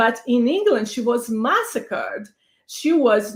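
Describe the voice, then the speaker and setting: Speaking at a fairly slow pace, a woman with a Brazilian accent uses lively intonation. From Brazil, São Paulo. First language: Portuguese. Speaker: panelist, advocate for immigrants and women. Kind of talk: panel discussion. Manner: halting, many fillers.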